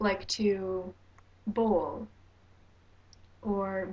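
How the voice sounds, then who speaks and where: Somewhat breathy, a woman speaks with a Canadian accent and fairly even intonation. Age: 19. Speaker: vlogger. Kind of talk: advice vlog. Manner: hesitant with fillers.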